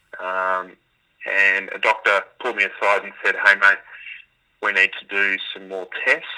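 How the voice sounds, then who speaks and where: A man in an Australian accent at a moderate pace. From Melbourne, Australia. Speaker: former pro footballer, mental health advocate. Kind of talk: interview. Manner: halting, many fillers.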